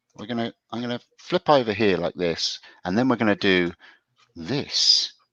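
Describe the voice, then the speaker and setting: A man talks at a moderate pace and medium pitch, with lively intonation and big swings in loudness. His tone is bright and sharp, and the sound is dry and close with no echo. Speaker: show host, woodworker. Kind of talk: casual chat.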